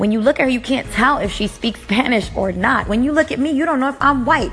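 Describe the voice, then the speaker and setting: Through noticeable background noise, a woman is heard. Her pitch is fairly high and her intonation lively. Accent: American. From New York City (Washington Heights), Dominican American. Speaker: internet radio host. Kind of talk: solo commentary monologue. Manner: hesitant, many fillers.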